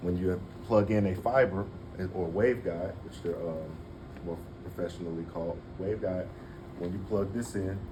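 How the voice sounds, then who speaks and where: A man speaks at a moderate pace in a very deep, low voice with a dark, mellow tone, a somewhat breathy quality and fairly even intonation. Long, frequent pauses break it up, and audible room echo surrounds it. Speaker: clinical educator for medical laser equipment. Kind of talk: in-service training demonstration. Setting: hospital break room with staff. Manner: casual, frequent okay checks.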